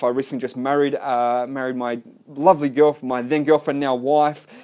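The speaker has an Australian accent. The delivery moves at a fairly quick pace. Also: man. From Melbourne, Australia. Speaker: podcaster, salesman. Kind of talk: solo podcast monologue. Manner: casual, hesitant with fillers.

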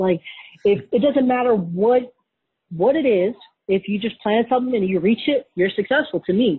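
With an American accent, a woman talks in an ordinary speaking voice, pitched fairly high, with lively intonation. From Wisconsin, US Midwest. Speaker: Navy veteran and entrepreneur. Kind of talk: casual interview.

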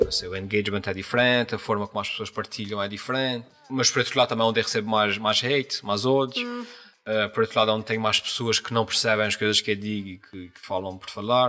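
In a strong Azorean accent, a man rattles off words at a very fast pace with hardly any pauses, fairly low in pitch with fairly even intonation and big swings in loudness, over noticeable background noise. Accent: strong São Miguel Azorean. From Azores, São Miguel island. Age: 40s. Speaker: YouTuber and comedian. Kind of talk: casual interview chat. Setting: recorded in a shop.

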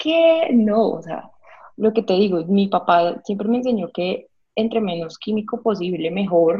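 A woman with a medium pitch talks at a moderate pace. Her voice sounds somewhat breathy, and her pitch varies in an ordinary way. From Colombia, Villavicencio (Meta). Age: 30s. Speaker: vegan restaurant co-founder. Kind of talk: interview. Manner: animated.

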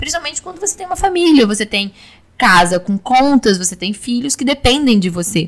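A woman speaks with a high pitch. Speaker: oral surgery resident. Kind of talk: interview.

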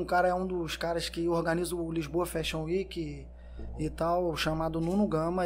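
A high-pitched man at a moderate pace, with music in the background. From Brazil, São Gonçalo (Rio de Janeiro state). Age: 30s. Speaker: entrepreneur, clothing brand owner, former footballer. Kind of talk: casual interview chat.

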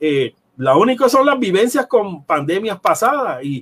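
In a Puerto Rican accent, a man speaks fairly slowly with very wide pitch swings. The sound is dry and close, with no echo. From Puerto Rico, Ponce. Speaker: nutrition professor. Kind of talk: interview.

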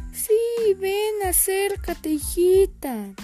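Over clear background music, a woman puts on an extremely high-pitched character voice and speaks at a very slow pace. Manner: fake sweet, deceiving.

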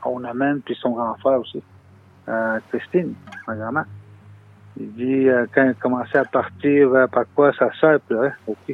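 Loudness swings widely, with long, frequent pauses throughout. Noticeable noise sits in the background. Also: man. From Lower North Shore, Quebec (Innu community). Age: 30s. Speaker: Innu community member. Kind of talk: interview testimony. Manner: halting.

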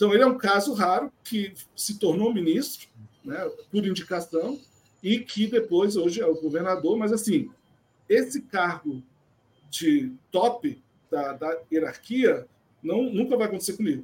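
Long, frequent pauses mark the speech of a man talking at a high pitch and fairly slow pace. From born in France, raised abroad (France, USA) by Brazilian diplomat family. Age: 50s. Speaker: civil servant, former hotel manager. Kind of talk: interview conversation.

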